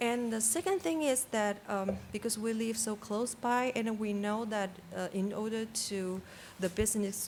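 Speaking fairly slowly with a non-native accent, a woman uses a medium pitch and ordinary pitch variation. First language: not English. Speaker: public commenter at city council meeting. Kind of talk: public comment. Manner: halting.

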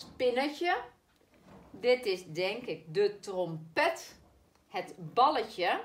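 A woman speaks at a very slow pace, with long, frequent pauses. Her pitch swings very widely. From Netherlands. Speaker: primary school teacher. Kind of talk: spelling lesson for children. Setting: recorded video lesson. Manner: slow, clearly articulated. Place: classroom. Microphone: camera far.

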